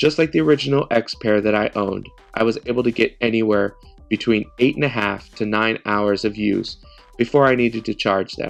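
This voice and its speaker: A man talks fairly quickly, his pitch rising and falling in an ordinary way, while music plays behind him. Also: medium pitch for a man. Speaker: tech reviewer. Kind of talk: product review talk to camera.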